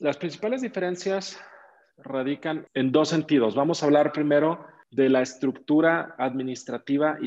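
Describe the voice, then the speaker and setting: With a Mexican accent, a man speaks at a fairly slow pace. His pitch variation is ordinary. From Mexico, Zacatecas. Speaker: real estate investor and entrepreneur. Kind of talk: interview.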